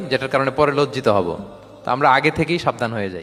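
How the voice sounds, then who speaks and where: Noticeable background noise surrounds a man's speech. He talks at a medium pitch with lively intonation. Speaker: Islamic preacher. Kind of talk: Islamic sermon (waz), Bangla with English phrases. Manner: fluent, persuasive, explanatory, with rhetorical questions to the audience.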